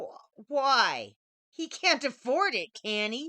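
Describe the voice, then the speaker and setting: A woman uses a put-on character voice, high in pitch and delivered at a very slow pace. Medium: read story. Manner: hissing, sly.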